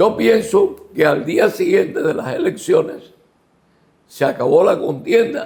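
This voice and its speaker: A man speaks at a very slow pace. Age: 70s. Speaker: former mayor and lawyer. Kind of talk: interview. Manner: emphatic, rhetorical.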